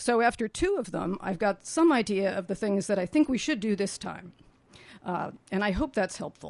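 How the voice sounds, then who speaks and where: A woman with a plain, everyday voice, medium pitch and moderate pace. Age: 60s. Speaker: planning commission member. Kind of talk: radio interview. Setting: studio.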